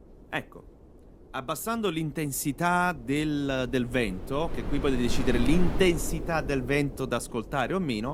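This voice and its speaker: A man with an unremarkable speaking voice and a fairly high pitch. He talks at a fairly slow pace with ordinary pitch variation and hardly any pauses. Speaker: voice actor. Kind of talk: casual tutorial talk to camera. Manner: upbeat, chatty.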